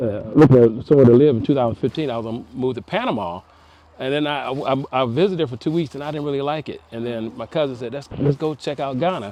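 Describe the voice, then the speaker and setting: A man at a medium pitch with ordinary pitch variation, a very fast pace and big swings in loudness. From United States. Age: 60s. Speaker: retired Air Force veteran and farmer. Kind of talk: casual interview. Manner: halting, with frequent fillers and repeats.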